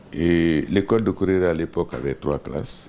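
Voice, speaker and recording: A man talks at a very slow pace with ordinary pitch variation over noticeable background noise. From Guinea, Boké region. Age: 70s. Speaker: business executive, former minister. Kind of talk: interview. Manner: hesitant, many fillers.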